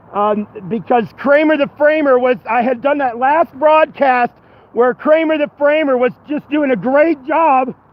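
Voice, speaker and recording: An extremely high male voice at a fairly slow pace, with noticeable background noise. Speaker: activist. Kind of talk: testimony. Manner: halting.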